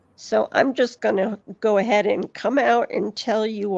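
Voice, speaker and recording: Speaking very slowly, a woman uses a fairly high voice with vocal fry. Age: 60s. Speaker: panel guest on a live stream. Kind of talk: casual chat.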